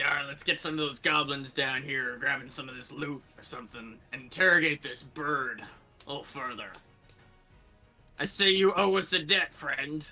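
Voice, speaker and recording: A man uses a put-on character voice, raspy and fairly high in pitch, at a moderate pace. Faint music plays in the background. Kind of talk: pirate talk. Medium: actual play.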